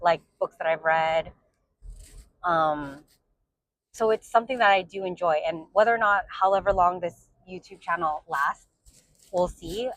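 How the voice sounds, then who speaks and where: The speaker talks at a fairly slow pace with ordinary pitch variation and long, frequent pauses. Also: woman, fairly low pitch for a woman. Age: 40s. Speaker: book vlogger. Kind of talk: casual monologue vlog. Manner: rambling with many fillers (um, like).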